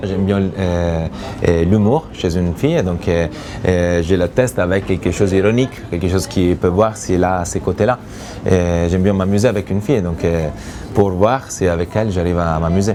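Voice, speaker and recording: With an Italian accent, a man speaks at a moderate pace in a very deep, low pitch and with fairly even intonation, over noticeable background noise. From Italy. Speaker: reality TV bachelor, businessman. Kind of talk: interview answer.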